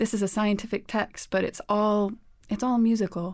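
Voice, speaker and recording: A woman's medium-pitched, monotone, flat delivery at a fairly quick pace, on a very clean recording with a silent background. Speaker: scientist and music technologist. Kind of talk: interview conversation.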